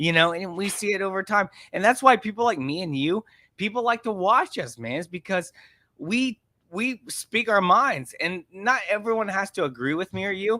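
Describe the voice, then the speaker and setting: Raising and projecting his voice, a man speaks in a high pitch with a bright, sharp, animated tone and lively intonation at a moderate pace, in a very clean recording with a silent background and a dry, close sound with no echo. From rural area. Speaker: online content creator. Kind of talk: casual chat.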